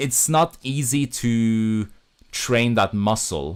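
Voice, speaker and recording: On a very clean recording with a silent background, a man speaks with a Norwegian accent and lively intonation. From Norway. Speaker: YouTuber and film director. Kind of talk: casual livestream chat. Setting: livestream from home. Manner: halting, many fillers.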